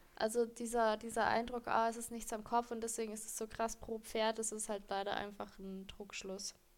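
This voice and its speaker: A woman speaks at a moderate pace with a fairly high pitch and hardly any pauses. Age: 20s. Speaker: horse trainer and podcast co-host. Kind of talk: casual expert chat. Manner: animated, laughs often.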